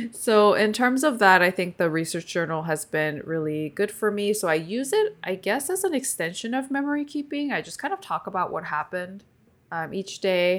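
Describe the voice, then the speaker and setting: Speaking in a Californian accent, a woman uses a medium pitch with very wide pitch swings at a moderate pace. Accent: general American, Californian. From Seoul, South Korea, moved to California at 11. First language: Korean. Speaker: podcast host, stationery streamer. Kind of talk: casual chat.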